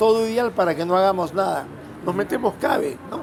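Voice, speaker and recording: A man speaks over noticeable background noise. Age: 70s. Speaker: road safety advocate. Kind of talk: interview.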